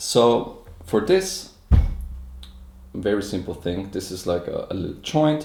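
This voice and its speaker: A man with a non-native accent speaks at a very slow pace. Audible room echo fills the recording. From Austria. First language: German. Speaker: inventor presenting his product. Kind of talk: live product demonstration. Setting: live stream.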